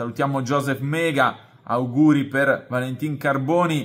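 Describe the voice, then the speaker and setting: At a fairly slow pace, a man speaks with a fairly high pitch and monotone, flat intonation. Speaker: sports journalist. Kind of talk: casual chat.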